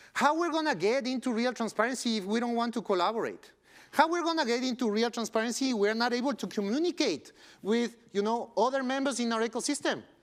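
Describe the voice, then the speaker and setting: A man with a Spanish accent speaks at a very fast pace. His pitch is extremely high, with ordinary pitch variation. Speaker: tech company co-founder. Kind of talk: conference keynote talk.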